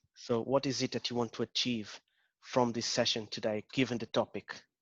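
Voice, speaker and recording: The background is quiet, and the sound is dry and close with no echo. A man with a strong Portuguese accent speaks with monotone, flat intonation. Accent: Portuguese accent, still strong. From Portugal. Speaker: agile coach. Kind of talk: interactive talk. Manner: hesitant, many fillers.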